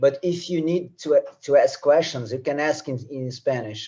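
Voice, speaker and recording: A man with a Portuguese accent speaks at a fairly slow pace. His tone is dark and mellow, with ordinary pitch variation. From Brazil. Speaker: professor. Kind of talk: lecture. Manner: halting, repeats words.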